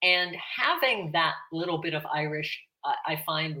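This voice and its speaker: A woman speaks in a Pittsburgh accent with a very deep, low pitch and a bright, sharp tone. Her pace is fairly slow. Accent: American, Pittsburgh. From Pittsburgh, Pennsylvania. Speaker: retired educator and farmer, Irish learner. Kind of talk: interview.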